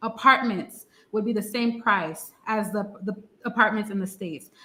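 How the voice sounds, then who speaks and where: Pitched fairly high, a woman with a New York accent speaks in a bright, sharp tone. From US, New York, Haitian family. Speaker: Haitian-American who moved to Haiti. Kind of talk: interview on a live stream. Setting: online live stream.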